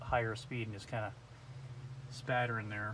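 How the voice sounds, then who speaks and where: Delivered in a flat monotone, the voice sits over light background noise. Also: man. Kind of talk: casual vlog chat. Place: street. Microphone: phone near.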